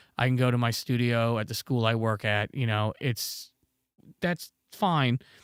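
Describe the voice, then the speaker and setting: A man with an American accent and a normal speaking voice speaks fairly slowly at a medium pitch, his loudness very even and his pitch varying normally, in a dry, close recording with no echo. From North Carolina. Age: 30s. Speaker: music producer and audio engineer. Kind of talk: casual livestream chat. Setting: home studio livestream. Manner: casual, conversational.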